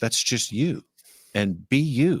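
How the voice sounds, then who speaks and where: Very clean recording with a silent background of a man in an American accent, fairly slow pace and very wide pitch swings. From Minnesota. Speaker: reptile breeder and content creator. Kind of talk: casual interview chat. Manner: halting at times.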